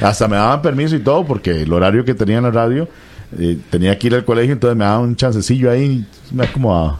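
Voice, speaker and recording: Noticeable background noise fills the recording. Over it, a man rushes along at a very fast pace with lively intonation. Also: medium pitch for a man, very even loudness. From Costa Rica, Limón. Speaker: radio announcer. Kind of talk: interview.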